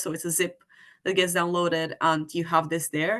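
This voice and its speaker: A normal speaking voice at a moderate pace against a quiet background. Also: woman. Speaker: physics competition organiser. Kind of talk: online webinar presentation.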